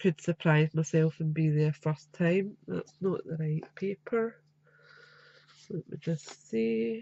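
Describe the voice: A woman speaks slowly at a fairly low pitch, her nasal voice dark and mellow in tone with vocal fry and fairly even intonation, in a dry, close sound with no echo.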